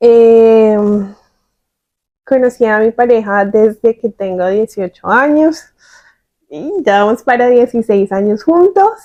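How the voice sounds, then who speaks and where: A woman with a Bogotá accent speaks very slowly with long, frequent pauses, her fairly high voice dark and mellow in tone with ordinary pitch variation, in a dry, close recording with no echo. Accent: Bogotá Colombian Spanish. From Colombia, Bogotá. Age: 30s. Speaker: podcast co-host. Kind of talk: casual conversational podcast. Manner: hesitant, many fillers.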